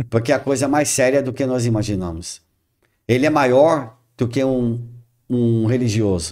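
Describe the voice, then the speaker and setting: In a very clean recording with a silent background, a man with a dark, mellow tone talks at a moderate pace and medium pitch, with ordinary pitch variation and long, frequent pauses. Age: 60s. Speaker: spiritist speaker. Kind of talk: podcast interview.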